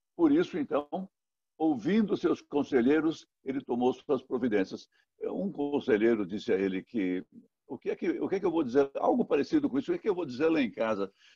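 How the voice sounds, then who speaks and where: A man's dark, mellow voice with vocal fry and very wide pitch swings, in a dry, close sound with no echo. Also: fairly high pitch for a man. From Brazil, Minas Gerais (Guanhães). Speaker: pastor. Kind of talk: sermon. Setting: recorded online worship service. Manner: repetitive, self-correcting.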